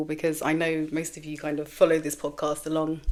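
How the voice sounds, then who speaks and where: A woman speaks with a British accent. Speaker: podcast host. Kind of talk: casual monologue. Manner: loud.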